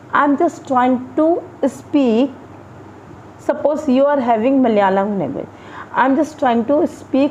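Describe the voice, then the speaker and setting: A woman speaks at a fairly slow pace with an Indian accent. Her voice is high-pitched, and there is noticeable background noise. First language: Hindi. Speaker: English teacher. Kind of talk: tutorial. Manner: halting.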